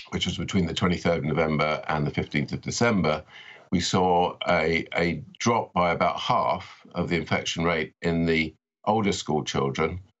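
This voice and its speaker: In a British accent, a man speaks at a moderate pace in a very deep, low voice. The background is quiet. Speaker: epidemiology professor. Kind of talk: interview. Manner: halting, repeats words. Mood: calm, measured. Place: home room. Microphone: webcam.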